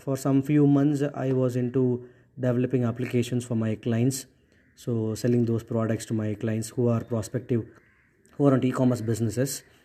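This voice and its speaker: A man with a Tamil accent, a medium pitch and a dark, mellow tone, at a moderate pace with monotone, flat intonation. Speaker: podcast host, entrepreneur. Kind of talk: solo podcast monologue. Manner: hesitant, many fillers.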